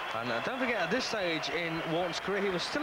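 Raising and projecting his voice over crowd noise in the background, a man talks at a fairly quick pace with lively intonation. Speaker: boxing commentator. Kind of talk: live boxing commentary, fast and tense, rising with each punch. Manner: animated; fluent.

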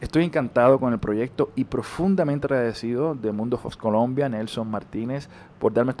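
Speaking with a Puerto Rican accent, a man talks at a fairly quick pace in a dark, mellow tone with ordinary pitch variation, over light background noise. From Puerto Rico. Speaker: actor. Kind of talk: interview. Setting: on a TV set. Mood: warm, animated, smiling. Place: home room. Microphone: handheld.

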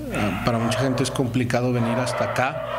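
A man speaks over loud background noise. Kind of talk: interview answer. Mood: calm, informative. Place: office. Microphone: handheld.

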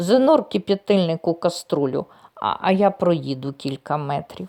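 A put-on character voice speaks at a middle pitch. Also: moderate pace. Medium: read story. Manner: mild, easygoing.

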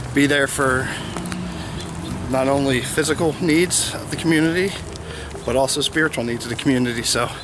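Noticeable background noise surrounds a man speaking at a moderate pace with fairly even intonation and a dry sound with no echo. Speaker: vlogger. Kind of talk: casual vlog chat. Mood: calm, reflective. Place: street. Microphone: phone near.

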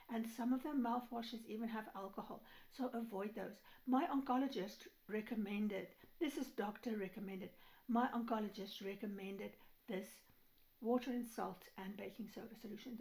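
This woman's voice has a somewhat breathy quality and ordinary pitch variation. She speaks fairly quickly. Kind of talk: casual vlog chat, advice. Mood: earnest, caring. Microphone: phone near.

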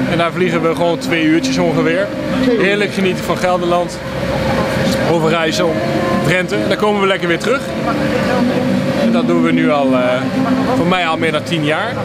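A man talks at a fairly quick pace with loud background noise behind him. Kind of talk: interview answer. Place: street.

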